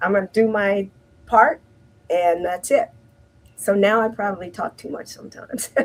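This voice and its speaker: A woman with an American accent speaks at a moderate pace with ordinary pitch variation, big swings in loudness and long, frequent pauses. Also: medium pitch for a woman. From US Midwest, Detroit, Michigan. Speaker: healthcare imaging manager. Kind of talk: casual interview chat. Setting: live-streamed interview.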